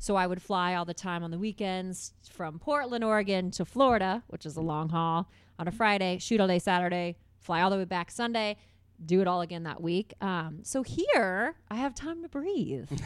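A woman with an American accent and an unremarkable speaking voice talks at a moderate pace with ordinary pitch variation. The recording is very clean, with a silent background. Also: medium pitch for a woman. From Indiana, US Midwest (Carmel). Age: 30s. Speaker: TV host and radio personality. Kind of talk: casual interview chat. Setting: studio.

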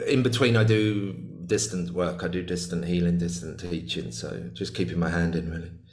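In a room with audible echo, a man with a very deep, low voice talks at a moderate pace with lively intonation. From UK. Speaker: shamanic healer and author. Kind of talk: casual interview chat. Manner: halting, many repeated words.

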